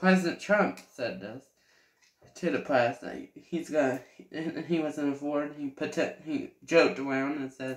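The speech moves at a fairly slow pace with ordinary pitch variation. Room echo is audible against a quiet background. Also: man, fairly high pitch for a man. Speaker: vlogger. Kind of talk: casual monologue; casual commentary. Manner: halting. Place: home room. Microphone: webcam.

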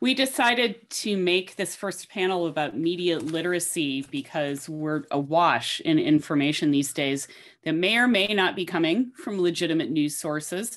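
A woman with a normal speaking voice talks at a moderate pace, her fairly low pitch carrying lively intonation over a quiet background. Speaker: panel moderator. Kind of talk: introducing a panel discussion. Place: home room. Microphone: webcam.

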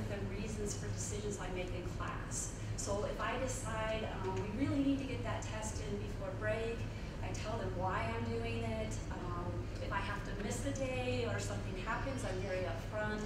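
A woman talks at a moderate pace amid loud background noise and audible room echo. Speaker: professor. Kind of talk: lecture. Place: hall.

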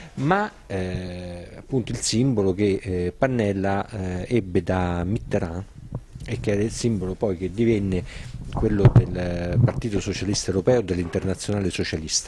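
The recording is dry with no echo, and loud background noise runs beneath it. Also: man, very deep, low pitch for a man, ordinary pitch variation, fairly slow pace. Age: young. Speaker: political activist and author; interviewee. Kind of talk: interview. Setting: café. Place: cafe. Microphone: handheld.

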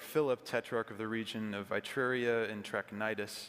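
At a moderate pace, a man speaks in a bright, sharp tone with monotone, flat intonation. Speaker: pastor. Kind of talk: sermon. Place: church. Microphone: podium.

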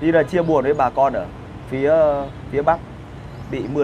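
Noticeable background noise sits behind a man speaking at a moderate pace. His pitch is fairly high. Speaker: online video host. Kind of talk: casual chat, live stream with viewers. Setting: live stream. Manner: animated, colloquial, crude. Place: cafe. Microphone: lapel.

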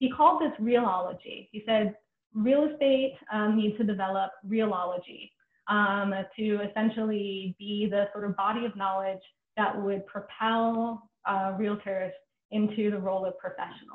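A woman speaks with an American accent and ordinary pitch variation. There is audible room echo. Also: moderate pace. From New York City (Brooklyn); New York City. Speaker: history professor. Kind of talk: lecture. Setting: video call. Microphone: webcam.

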